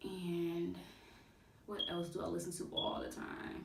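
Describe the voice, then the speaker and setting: A woman with a fairly low pitch speaks through audible room echo and noticeable background noise. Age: 20s. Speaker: music review youtuber. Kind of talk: casual vlog. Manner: halting.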